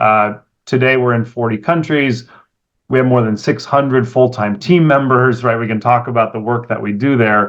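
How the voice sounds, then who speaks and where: Speaking with an American accent, a man uses an ordinary speaking voice at a medium pitch, keeping a moderate pace and fairly even intonation. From California. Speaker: venture capitalist. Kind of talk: interview.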